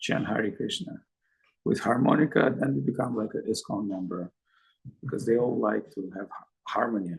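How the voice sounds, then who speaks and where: A man with a medium pitch and vocal fry talks at a fairly slow pace, his intonation lively. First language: Russian. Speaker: spiritual teacher. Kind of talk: lecture. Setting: video call.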